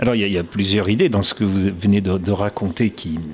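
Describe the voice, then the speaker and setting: His pitch fairly low, a man talks in an unremarkable speaking voice, keeping a moderate pace. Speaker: interviewer. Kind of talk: interview.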